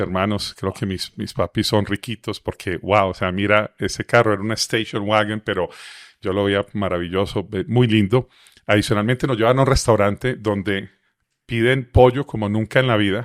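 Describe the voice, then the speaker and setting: A man with a fairly low pitch speaks at a moderate pace with fairly even intonation. The recording is very clean and silent behind him, with a dry, close sound and no echo. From Colombia, Medellín (paisa). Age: 50s. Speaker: motivational speaker and author. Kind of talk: interview testimony.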